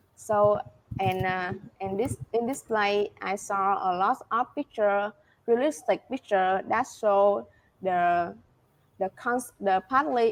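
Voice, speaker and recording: A woman with a Vietnamese accent at a very slow pace. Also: quiet background. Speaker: IELTS test taker. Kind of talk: interview answer. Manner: hesitant, many fillers.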